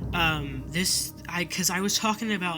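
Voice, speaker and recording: A man speaks at a moderate pace with fairly even intonation. Music can be heard in the background. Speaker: anime youtuber. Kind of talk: video essay commentary. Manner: halting, repeats words.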